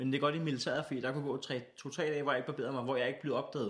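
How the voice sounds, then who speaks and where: Monotone and flat, a man rattles along at a very fast pace. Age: 20s. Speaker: comedian and radio host. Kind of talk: casual chat.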